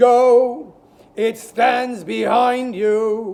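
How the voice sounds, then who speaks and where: The man's put-on character voice is extremely high in pitch. He keeps it up as an act. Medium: read story. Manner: solemn, stern.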